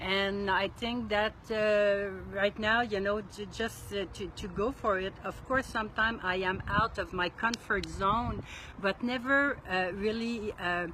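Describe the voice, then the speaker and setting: A woman speaks with a French accent. Her pace is fairly slow and her intonation fairly even. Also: medium pitch for a woman. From Quebec, Montreal. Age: 60s. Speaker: solo RV traveler. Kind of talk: interview. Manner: halting.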